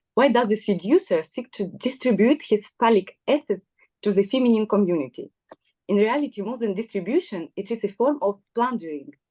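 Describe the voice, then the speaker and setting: A woman with a non-native accent speaks in a dark, mellow tone with lively intonation. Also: fairly quick pace, dry, close sound with no echo. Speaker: psychoanalyst. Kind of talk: prepared talk from notes. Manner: halting.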